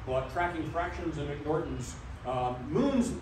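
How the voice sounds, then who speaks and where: Audible room echo and noticeable background noise around a male voice. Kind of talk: public history talk. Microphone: camera far.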